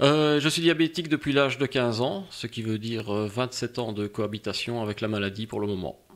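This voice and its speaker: Here a man speaks at a medium pitch with ordinary pitch variation. His pace is fairly quick, with hardly any pauses. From Belgium, Liège. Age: 40s. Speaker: diabetic patient, insulin pump user. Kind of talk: casual interview. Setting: recorded podcast.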